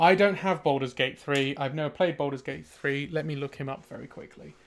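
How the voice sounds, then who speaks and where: In a British accent, a man with a fairly high pitch speaks at a moderate pace with ordinary pitch variation. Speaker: artist streaming live drawing. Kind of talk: casual livestream chat. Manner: loud; mumbly when working.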